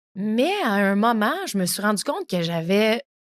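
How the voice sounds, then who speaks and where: A woman speaks with a Quebec accent. The recording is very clean, with a silent background and a dry, close sound with no echo. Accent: Québécois French. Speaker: podcast host. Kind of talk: solo podcast talk. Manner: casual, many filler words.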